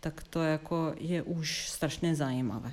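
At a fairly slow pace, a woman speaks in a Serbian accent with a very deep, low pitch. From Yugoslavia (Serbia). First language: Serbian (speaking Czech). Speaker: theatre dramaturg and curator. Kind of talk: interview. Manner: hesitant.

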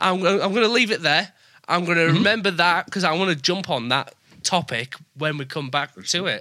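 Speaking at a fairly quick pace, a man with a northern English accent uses a high pitch. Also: ordinary pitch variation. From northern England. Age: 20s. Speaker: podcast host. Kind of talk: casual interview chat. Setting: remote call.

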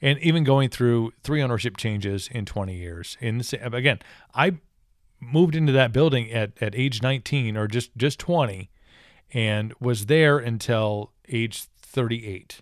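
A man talks at a moderate pace with an American accent, in a normal speaking voice. His pitch is medium, and the recording is very clean with a silent background. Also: ordinary pitch variation. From Wisconsin, US Midwest. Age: 30s. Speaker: podcast host, former radio DJ. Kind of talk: casual chat.

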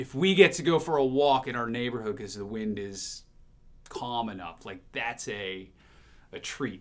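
Spoken in a plain, everyday voice at a moderate pace, the delivery has lively intonation and big swings in loudness. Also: man, medium pitch for a man. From New Jersey, near the Jersey Shore. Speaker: TV morning show host. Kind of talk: casual interview chat. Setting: studio.

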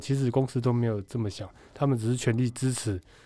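The man's voice is dark and mellow, medium in pitch, and fairly quick in pace. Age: 30s. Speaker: baseball pitcher and bank employee. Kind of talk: casual interview.

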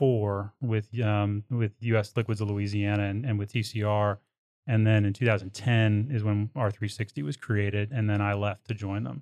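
A man with an American accent talks in a normal speaking voice, fairly low in pitch, at a moderate pace with hardly any pauses. His intonation is fairly even, and the sound is dry and close with no echo over a quiet background. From Texas. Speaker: oilfield services executive. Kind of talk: interview. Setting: studio.

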